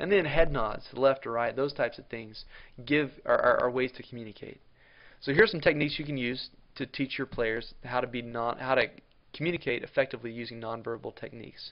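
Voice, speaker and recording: A man speaks at a fairly quick pace, his pitch medium with ordinary variation. It's an ordinary speaking voice, with big swings in loudness. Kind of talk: tutorial.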